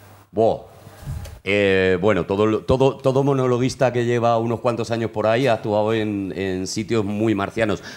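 This man speaks at a moderate pace in a medium pitch. His intonation stays fairly even. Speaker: comedy writer and producer. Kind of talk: interview on comedy history. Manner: loud.

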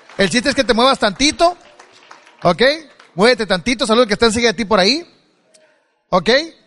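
Against crowd noise, a man talks at a very fast pace in an extremely high voice with an animated tone and lively intonation, broken by long, frequent pauses. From Mexico, Culiacán, Sinaloa. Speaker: motivational speaker. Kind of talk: motivational speech. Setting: stage with audience.

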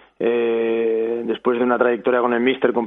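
A man speaks at a medium pitch. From Barcelona, Catalonia. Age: 30s. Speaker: footballer (goalkeeper). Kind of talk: casual interview.

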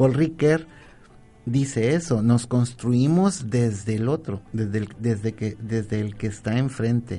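Here a man talks at a very slow pace with a medium pitch and ordinary pitch variation. His tone is dark and mellow, and somewhat breathy. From Colima, Mexico. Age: 50s. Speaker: university professor. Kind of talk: radio talk show interview. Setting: radio studio.

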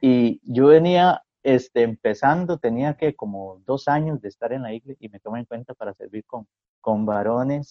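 A man talks at a moderate pace with a normal speaking voice. His pitch is medium, with ordinary pitch variation. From Costa Rica, San Carlos. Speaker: pastor. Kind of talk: casual chat. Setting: video call.

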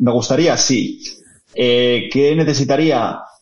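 A man at a moderate pace with fairly even intonation, amid audible room echo and noticeable background noise. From Asturias, Spain (Oviedo). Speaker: tech business lead, physicist. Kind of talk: interview conversation.

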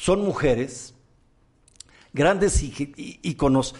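This man has a fairly high pitch and lively intonation, speaking at a very slow pace. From Mexico. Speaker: podcast host and comedian-entertainer. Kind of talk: casual talk show chat. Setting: studio.

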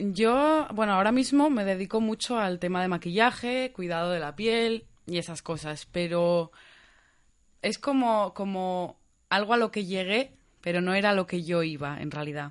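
A woman with an unremarkable speaking voice talks at a fairly slow pace, her medium pitch moving with lively intonation against a quiet background. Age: 20s. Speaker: beauty consultant. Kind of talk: casual chat.

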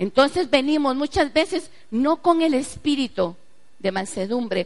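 With very wide pitch swings, a woman delivers her words at a fairly slow pace. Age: 40s. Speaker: pastor. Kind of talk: sermon.

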